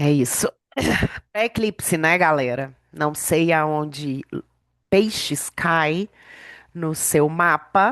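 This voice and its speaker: Speaking at a very slow pace with long, frequent pauses, a woman with a very deep, low pitch and ordinary pitch variation sounds dry and close, with no echo. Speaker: women's mentor and podcast host. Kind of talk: reading aloud; casual podcast chat. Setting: podcast recording.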